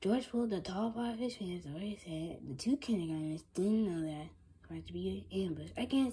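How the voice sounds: The recording features a natural reading voice.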